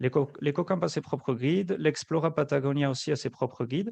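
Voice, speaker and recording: The speaker has a southwestern French accent and ordinary pitch variation. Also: man. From French Basque Country. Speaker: travel agency representative. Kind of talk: webinar presentation and Q&A. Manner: hesitant, many fillers.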